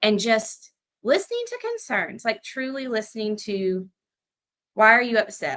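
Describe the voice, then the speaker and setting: A woman speaks at a fairly high pitch in a bright, sharp tone. Her pitch varies in an ordinary way. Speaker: project manager. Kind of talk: casual chat. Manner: reassuring.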